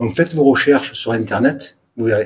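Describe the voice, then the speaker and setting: The voice is somewhat breathy. Its intonation is lively. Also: man. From Provence, southern France. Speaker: urban explorer vlogger. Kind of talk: casual vlog narration. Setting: abandoned building, on location.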